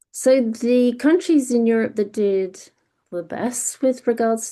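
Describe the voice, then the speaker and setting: Talking at a fairly slow pace, the woman speaks in a British accent. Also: quiet background. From Britain. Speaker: freelance medical communications panelist. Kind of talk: webinar data presentation. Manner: hesitant, many fillers and restarts.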